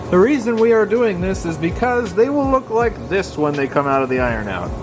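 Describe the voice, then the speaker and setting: Noticeable background noise sits behind a man with a high pitch. He talks at a fairly quick pace with very wide pitch swings. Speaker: rockhound YouTuber. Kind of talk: casual video narration. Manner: animated.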